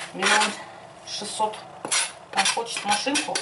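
A woman at a moderate pace, with loud background noise. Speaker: home cooking vlogger. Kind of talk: casual vlog chat. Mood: chatty, humorous. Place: kitchen. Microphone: phone near.

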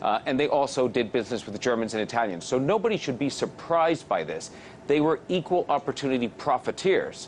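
With some light noise behind him, the man moves at a fairly brisk clip, his pitch varying in an ordinary way. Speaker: remote interview guest. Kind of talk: interview answer. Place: studio. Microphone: lapel.

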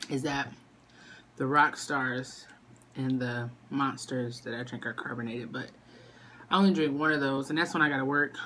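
With a very deep, low pitch, a woman talks at a moderate pace with fairly even intonation and long, frequent pauses, over light background noise. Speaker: mother vlogger. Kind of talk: casual mukbang vlog chat. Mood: relaxed, chatty. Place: home room. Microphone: phone near.

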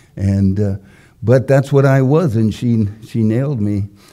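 Speaking at a fairly slow pace in an American accent, the voice has a dark, mellow tone over a quiet background. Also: man. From US Midwest, Wisconsin. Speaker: preacher. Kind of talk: sermon. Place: church. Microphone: podium.

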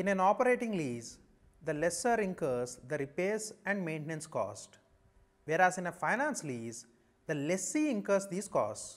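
A man with an Indian accent speaks at a moderate pace. His high voice swings very widely in pitch. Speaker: chartered accountancy lecturer. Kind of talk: lecture. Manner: formal. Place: studio. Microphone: lapel.

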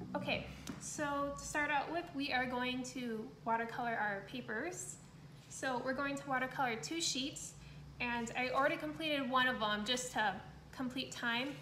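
A woman's high voice at a moderate pace with ordinary pitch variation, audible room echo and light background noise. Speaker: art instructor. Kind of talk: tutorial. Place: home room. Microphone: phone near.

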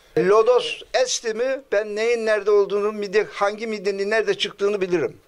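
A man speaks at a fairly quick pace in a high pitch. His loudness stays very even and his intonation is monotone and flat. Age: 70s. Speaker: seashell craftsman. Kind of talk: interview answer. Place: shop. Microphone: handheld.

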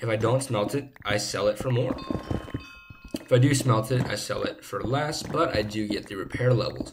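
A man at a moderate pace with ordinary pitch variation, clear music in the background. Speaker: gaming YouTuber. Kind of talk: casual gameplay commentary. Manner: slurring words slightly. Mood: relaxed, upbeat. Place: home room.

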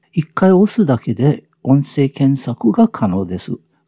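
Dark and mellow in tone, a man's voice comes through with a slight breathiness. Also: dry, close sound with no echo. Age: 70s. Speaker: senior product reviewer, farmer and English teacher. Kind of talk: scripted narration.

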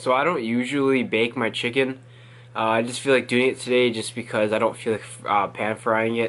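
A man at a fairly quick pace over light background noise. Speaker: fitness vlogger. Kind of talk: casual vlog chat. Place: home room. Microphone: phone near.

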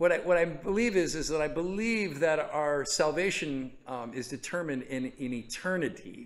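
With an American accent, a man speaks at a moderate pace in a fairly high pitch and lively intonation. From California. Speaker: pastor. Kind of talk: Bible study teaching. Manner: casual, conversational with hesitations. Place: stage.

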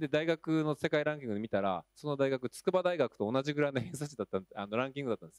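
The voice races along at a very fast pace with hardly any pauses, recorded dry with no echo over a quiet background. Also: man, fairly high pitch for a man. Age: 40s. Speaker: school teacher and panel moderator; school teacher, panel moderator. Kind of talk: panel discussion. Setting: stage with audience. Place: hall. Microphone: handheld.

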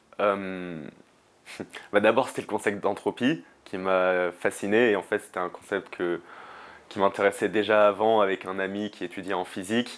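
Speaking at a fairly slow pace, a man keeps his intonation fairly even and leaves long, frequent pauses. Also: fairly low pitch for a man. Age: 20s. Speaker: student and climate activist; interviewee. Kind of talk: interview; interview answer. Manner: halting, many fillers and repetitions. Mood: reflective, thoughtful. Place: home room. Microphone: lapel.

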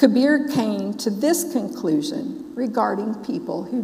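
Speaking with an American accent, a woman delivers her words at a very slow pace. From US South, Memphis. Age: 60s. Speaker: Sikh minister. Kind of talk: sermon. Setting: church with congregation. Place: church.

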